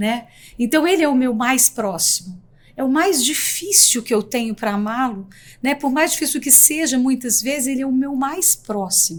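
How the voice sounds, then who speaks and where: Her voice high and her intonation lively, a woman talks at a moderate pace. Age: 60s. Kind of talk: podcast interview.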